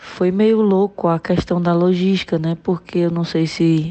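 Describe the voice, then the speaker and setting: Fairly slow, monotone, flat speech amid noticeable background noise. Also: woman. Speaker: listener contributor. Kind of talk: recorded voice message testimony.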